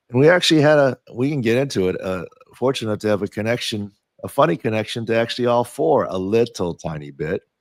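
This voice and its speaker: A man's very fast delivery with lively intonation. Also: medium pitch for a man. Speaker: sports medicine doctor and podcast host. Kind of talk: casual podcast chat. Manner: halting, many repeats and fillers.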